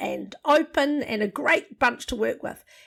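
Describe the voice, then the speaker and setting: Here a woman speaks in a New Zealand accent. Her pace is fairly slow. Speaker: leadership program facilitator.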